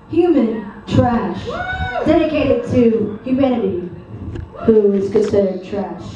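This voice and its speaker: The clip has audible room echo and noticeable background noise. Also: woman. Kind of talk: stage banter. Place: bar. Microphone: pa.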